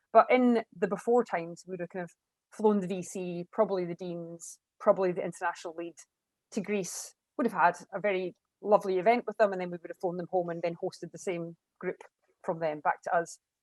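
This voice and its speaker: With big swings in loudness, a woman speaks at a medium pitch and a fairly quick pace in a dry, close sound with no echo. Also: fairly even intonation. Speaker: university international partnerships lead. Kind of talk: panel discussion. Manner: fast.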